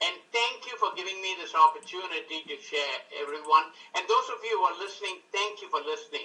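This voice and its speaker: A man talks at a fairly quick pace with big swings in loudness. Music plays in the background. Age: 60s. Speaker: customer giving testimonial. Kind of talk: testimony.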